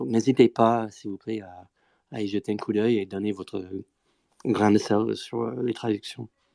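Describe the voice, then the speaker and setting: In a very clean, dry, close recording with no echo and a silent background, a man with a fairly low pitch and a dark, mellow tone speaks at a fairly slow pace, his intonation fairly even, his loudness swinging widely, and his pauses long and frequent. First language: not French (speaking French). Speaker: Bitcoin Core developer. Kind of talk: technical panel discussion. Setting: live Twitter audio space. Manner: hesitant, many fillers.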